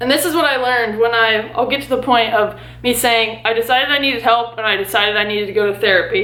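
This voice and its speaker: In a room with audible echo, a woman talks fairly quickly at a fairly high pitch with ordinary pitch variation. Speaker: lifestyle vlogger. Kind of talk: personal vlog monologue. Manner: halting.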